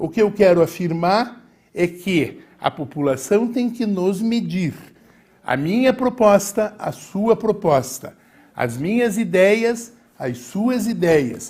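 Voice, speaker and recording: A man's high-pitched voice at a very slow pace with lively intonation, very clean recording, silent background. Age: 60s. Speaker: mayoral candidate. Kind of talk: political debate. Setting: TV studio.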